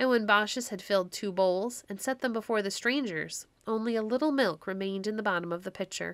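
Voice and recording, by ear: This is reading aloud in a natural voice. The pitch shows ordinary variation.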